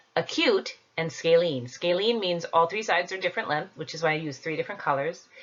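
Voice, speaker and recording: At a moderate pace, a woman with a fairly low pitch talks in an unremarkable speaking voice. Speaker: school teacher. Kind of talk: homework tutorial.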